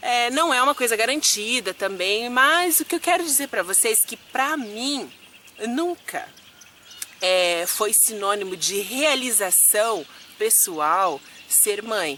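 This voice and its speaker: Very wide pitch swings at a very slow pace, with noticeable background noise. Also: woman, fairly high pitch for a woman. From Curitiba, southern Brazil. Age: 30s. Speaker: vlogger, flight attendant. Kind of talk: casual vlog Q&A.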